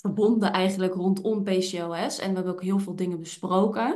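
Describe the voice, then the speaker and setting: Audible room echo surrounds a woman's medium-pitched voice. Her intonation is monotone and flat. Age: 20s. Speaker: podcast host and hormone therapist with PCOS. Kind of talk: casual chat. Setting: office.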